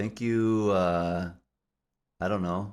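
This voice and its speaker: Very deep and low, a man's voice moves at a very slow pace with fairly even intonation in a very clean recording with a silent background. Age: 30s. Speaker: podcast host. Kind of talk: casual chat.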